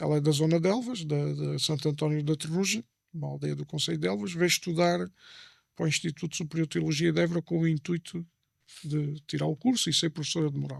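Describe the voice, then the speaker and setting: On a very clean recording with a silent background and a dry, close sound with no echo, a man with an Alentejo accent talks at a very fast pace. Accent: Alentejo accent, Mourão. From Portugal, Alentejo (Mourão). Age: 40s. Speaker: former seminarian giving faith testimony. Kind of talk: interview testimony.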